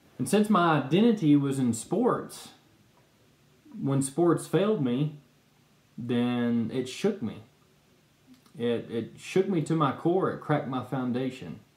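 With long, frequent pauses and audible room echo, a man talks at a fairly slow pace. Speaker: speaker. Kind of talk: personal testimony talk. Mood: earnest, calm. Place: home room. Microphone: webcam.

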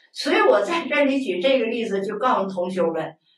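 With audible room echo, a woman speaks at a moderate pace, her pitch swinging very widely. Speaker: Buddhist lay teacher. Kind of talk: lecture. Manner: colloquial, conversational asides. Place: studio.

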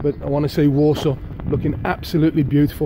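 A man speaks at a fairly quick pace. Noticeable background noise runs behind him. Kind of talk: casual vlog chat. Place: street. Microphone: phone near.

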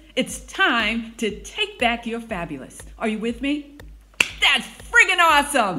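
The speaker sounds upbeat and energetic, moving at a fairly slow pace with very wide pitch swings over noticeable background noise. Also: woman, fairly high pitch for a woman. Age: 60s. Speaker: fitness instructor. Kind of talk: workout class instruction to camera. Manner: upbeat, motivating, energetic. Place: home room. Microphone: phone near.

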